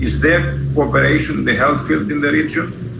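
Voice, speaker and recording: A man talks while noticeable background noise and audible room echo fill the recording. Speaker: moderator. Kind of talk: Q&A moderation. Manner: fast.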